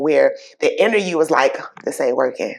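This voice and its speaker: A woman with a strong Bronx accent at a moderate pace. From New York, the Bronx. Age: 50s. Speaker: talk show host. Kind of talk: interview.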